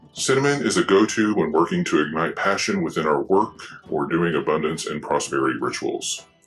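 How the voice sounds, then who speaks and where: A man talks at a fairly quick speed as music plays in the background. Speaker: unboxing video creator. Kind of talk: product unboxing with reading aloud.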